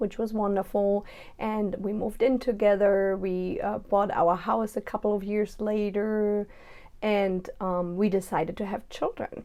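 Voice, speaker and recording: A woman with a German accent, medium pitch, monotone, flat intonation and a fairly slow pace, in a very clean recording with a silent background. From Germany. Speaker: mom blogger. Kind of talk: personal vlog.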